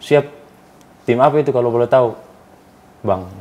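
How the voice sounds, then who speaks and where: A man speaks with a dark, mellow tone. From Indonesia, East Nusa Tenggara (Soe); East Nusa Tenggara, Indonesia. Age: young. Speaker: professional footballer; guest. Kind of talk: casual interview. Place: studio.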